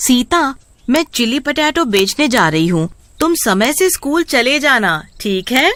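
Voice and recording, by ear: Using a put-on character voice, a woman talks high in her range with big pitch swings. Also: fairly slow pace, fairly bright tone.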